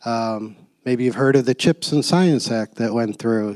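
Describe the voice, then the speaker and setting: A medium-pitched man at a moderate pace, with fairly even intonation, in a very clean recording with a silent background. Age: 60s. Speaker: company CEO, panelist. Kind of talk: panel discussion talk. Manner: hesitant, many fillers.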